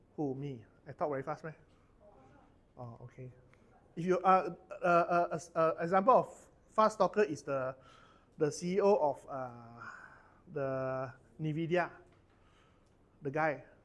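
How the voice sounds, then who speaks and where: Speaking with a Malaysian accent, a man with a fairly high pitch moves at a fairly slow pace, with ordinary pitch variation, long, frequent pauses and big swings in loudness. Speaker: corporate trainer. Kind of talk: workshop training session. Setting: training room with audience.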